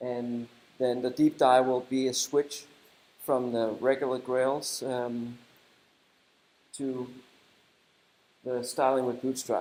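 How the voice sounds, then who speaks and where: With a Danish accent, a man speaks very slowly with long, frequent pauses, in a dark, mellow tone at medium pitch and with monotone, flat intonation. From Denmark. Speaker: software developer and conference speaker. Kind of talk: conference talk. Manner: halting.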